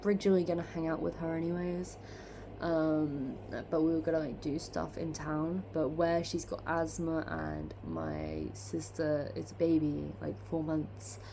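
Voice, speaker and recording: A woman speaks at a fairly slow pace amid audible room echo. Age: 20s. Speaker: vlogger. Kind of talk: casual chat. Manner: rambling, hesitant with many fillers.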